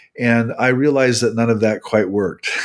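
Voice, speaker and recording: On a very clean recording with a silent background, a man speaks with a Midwestern US accent. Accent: General American, Midwestern. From US Midwest, Nebraska. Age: 60s. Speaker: religion scholar and author. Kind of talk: interview.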